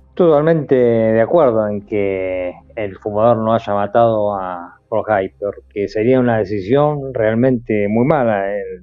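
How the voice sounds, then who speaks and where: The speaker is a man with a medium pitch. He goes at a fairly slow pace with ordinary pitch variation. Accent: Argentine. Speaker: podcast host. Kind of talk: casual chat.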